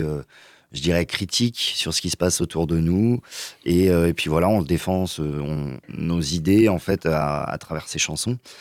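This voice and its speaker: In a very clean recording with a silent background and a dry, close sound with no echo, a man talks at a fairly slow pace in a very deep, low pitch. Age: 20s. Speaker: singer-guitarist. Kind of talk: radio interview.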